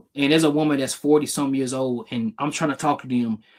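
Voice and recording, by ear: A man with a fairly high voice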